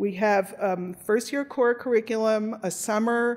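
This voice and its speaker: Hers is an unremarkable speaking voice at medium pitch. The woman talks at a fairly slow pace with fairly even intonation. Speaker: law professor. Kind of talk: conference presentation.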